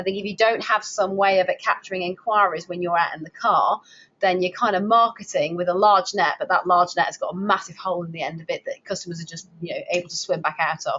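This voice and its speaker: A woman with a Lancashire accent talks at a very fast pace with hardly any pauses, her medium pitch and fairly even intonation set against big swings in loudness. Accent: Lancastrian. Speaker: webinar presenter for driving instructor association. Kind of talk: webinar presentation. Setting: online webinar.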